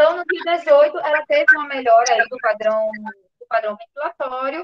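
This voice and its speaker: A woman is speaking. Her voice sits at a high pitch. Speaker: physician presenting a case. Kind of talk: clinical case presentation.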